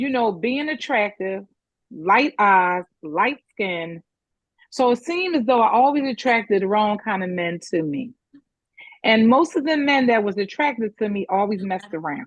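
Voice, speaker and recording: An animated woman's voice, fairly high in pitch, with very wide pitch swings. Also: moderate pace. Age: 60s. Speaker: caller sharing personal story. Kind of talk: testimony.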